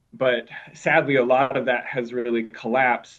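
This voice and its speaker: In a Minnesota accent, a man talks at a moderate pace with a medium pitch. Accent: Minnesotan. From Minnesota, US Midwest. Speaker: camp director at a mission. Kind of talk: podcast interview.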